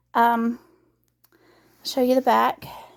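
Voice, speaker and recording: A woman's voice at a moderate pace. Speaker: craft vlogger. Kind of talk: casual vlog update. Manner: hesitant, many fillers.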